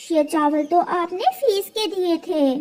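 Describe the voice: In a cartoonish character voice, a female-sounding speaker squeaks at an extremely high pitch and a moderate pace.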